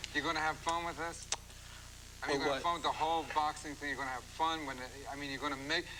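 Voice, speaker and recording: Over noticeable background noise, a man talks at a very fast pace in a fairly high pitch with monotone, flat intonation. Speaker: comedian, talk show host. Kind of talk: talk show interview.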